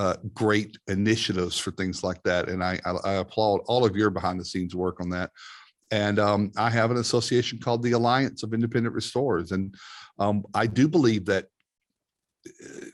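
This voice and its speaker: A man with a fairly low pitch at a moderate pace, in a very clean recording with a silent background. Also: ordinary pitch variation. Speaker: restoration industry consultant. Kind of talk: podcast interview. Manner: loud; halting.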